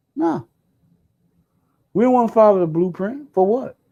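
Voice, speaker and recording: Loud and high-pitched, a man with a dark, mellow tone talks at a moderate pace with very wide pitch swings. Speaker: vlogger. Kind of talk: casual monologue. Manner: animated.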